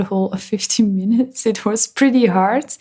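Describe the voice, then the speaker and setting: This is a woman speaking. She has a non-native accent. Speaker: gaming YouTuber. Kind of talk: voiceover commentary.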